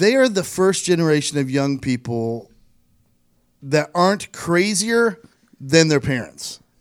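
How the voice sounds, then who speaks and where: The speaker has an American accent and a fairly slow pace, with long, frequent pauses. The pitch swings very widely. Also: man, fairly high pitch for a man. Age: 40s. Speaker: podcast host. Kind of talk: casual chat. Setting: studio.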